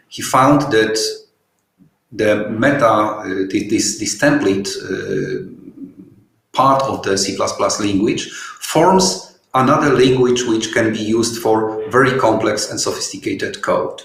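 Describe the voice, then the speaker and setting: A man with a Polish accent at a fairly slow pace, in audible room echo. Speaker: software developer. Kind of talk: webinar Q&A. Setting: online webinar. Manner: halting, many fillers.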